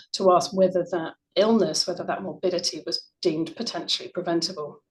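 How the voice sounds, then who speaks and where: A woman talks at a fairly quick pace with an English accent. Her pitch sits in the medium range. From UK. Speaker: researcher, former neonatal nurse. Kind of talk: conference presentation. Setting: online conference.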